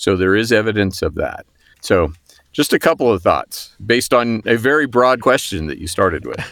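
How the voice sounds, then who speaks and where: A man's normal speaking voice, medium in pitch, with lively intonation at a moderate pace. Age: 60s. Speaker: physician and hospital executive. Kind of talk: interview.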